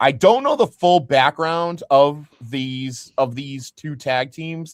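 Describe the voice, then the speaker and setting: This man has a fairly high pitch and ordinary pitch variation, speaking at a very slow pace. His loudness swings widely, and the sound is dry and close with no echo. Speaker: wrestling podcast co-host. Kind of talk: casual podcast chat. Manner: hesitant, filler-heavy.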